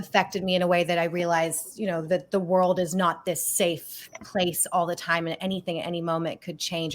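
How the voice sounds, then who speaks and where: A woman with an American accent and a fairly low pitch at a moderate pace, with music in the background. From Australia. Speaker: filmmaker. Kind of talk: interview.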